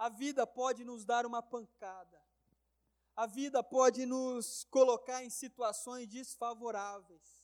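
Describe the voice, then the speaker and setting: A man speaks at a very slow pace with an extremely high pitch. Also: fairly even intonation, big swings in loudness, dry, close sound with no echo. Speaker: preacher. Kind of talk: sermon. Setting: church. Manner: emphatic, repetitive preaching cadence, building momentum with rhetorical questions; earnest, exhorting the congregation.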